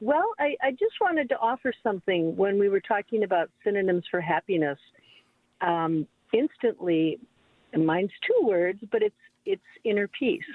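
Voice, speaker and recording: With an ordinary speaking voice, a woman speaks at a moderate pace and medium pitch, her intonation lively and her loudness very even. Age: 60s. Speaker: radio caller, retired corporate worker. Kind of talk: call-in comment. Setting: phone call.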